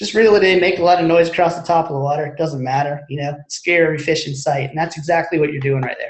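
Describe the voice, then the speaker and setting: A man talks at a very fast pace with hardly any pauses. His intonation stays fairly even. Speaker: marine electronics specialist. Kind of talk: webinar presentation. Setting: online webinar.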